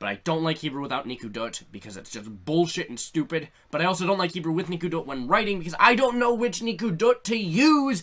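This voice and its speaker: An animated tone at a very fast pace, with a Canadian accent. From Canada. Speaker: YouTuber. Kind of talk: comedic rant vlog.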